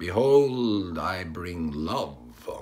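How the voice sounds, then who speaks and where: A man uses a put-on character voice pitched very deep and low. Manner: sweet, benevolent.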